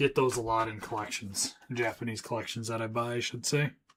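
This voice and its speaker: A man mumbling at a fairly quick pace, his loudness swinging widely. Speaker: trading card seller and streamer. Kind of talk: live stream chat while working. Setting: live stream. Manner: mumbling to himself.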